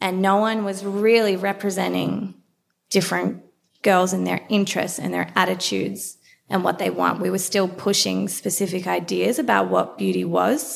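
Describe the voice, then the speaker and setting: Her pace is moderate. The woman talks with an Australian accent. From Australia, Melbourne. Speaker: beauty brand founder. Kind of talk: interview.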